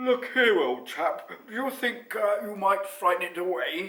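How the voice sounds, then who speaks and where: A put-on character voice at a fairly slow pace. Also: man, high pitch for a man. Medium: read story. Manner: bluff, upper-class.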